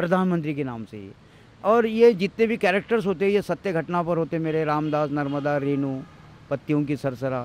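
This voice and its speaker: The speaker has a normal speaking voice. Delivery comes at a moderate pace with ordinary pitch variation. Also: man. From India, Maharashtra (Amravati). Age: 60s. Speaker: tea seller and author. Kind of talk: interview testimony.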